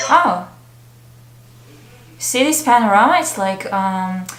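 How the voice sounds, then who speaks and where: Someone with a non-native accent talks amid audible room echo and noticeable background noise. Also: woman. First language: not English. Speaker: K-pop reaction youtuber. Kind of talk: reaction video commentary. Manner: animated.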